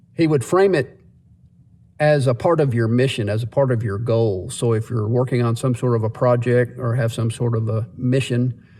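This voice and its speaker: At a moderate pace, a man speaks with a medium pitch, ordinary pitch variation, and a dark, mellow, somewhat breathy tone. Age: 60s. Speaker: vlogger. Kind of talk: casual monologue. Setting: in a parked car.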